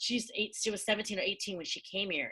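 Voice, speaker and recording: Loud and energetic, a woman with a West Coast US accent talks at a very fast pace in a bright, sharp tone at a medium pitch. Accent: General American, West Coast. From Southern California. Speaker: science professor. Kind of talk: casual interview chat.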